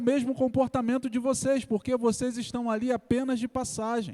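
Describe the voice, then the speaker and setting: In a Carioca accent, a man speaks at a moderate pace with an extremely high pitch and a dark, mellow tone, in a dry, close sound with no echo. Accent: Carioca, S pronounced like X. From Rio de Janeiro, Brazil. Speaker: pastor. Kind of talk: sermon.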